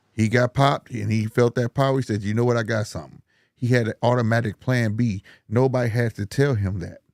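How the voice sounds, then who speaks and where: A man with a plain, everyday voice, medium pitch and fairly even intonation at a fairly quick pace, in a dry, close sound with no echo on a very clean recording with a silent background. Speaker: boxing podcaster. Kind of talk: casual chat.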